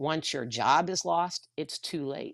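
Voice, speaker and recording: A woman with a Texan accent speaks at a fairly slow pace in a very deep, low voice with ordinary pitch variation. The sound is dry and close with no echo, on a very clean recording with a silent background. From Texas. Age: 60s. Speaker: retired teacher and union activist. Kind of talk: livestream discussion. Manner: blunt.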